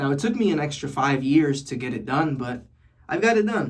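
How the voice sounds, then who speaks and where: Recorded with audible room echo, a man with an American accent talks at a fairly high pitch. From New York City. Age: 20s. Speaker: vlogger. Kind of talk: casual vlog monologue. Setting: bathroom. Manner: casual, conversational.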